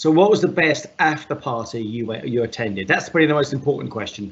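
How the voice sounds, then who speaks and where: The man talks in a medium pitch at a moderate pace. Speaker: tech meetup host. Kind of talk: live streamed interview.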